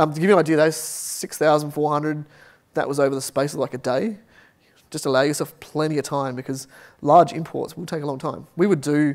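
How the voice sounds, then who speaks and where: In an Australian accent, a man talks at a fairly quick pace and a fairly high pitch with fairly even intonation, on a very clean recording with a silent background. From Australia, Adelaide. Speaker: software team lead. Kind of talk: Q and A answer; conference talk.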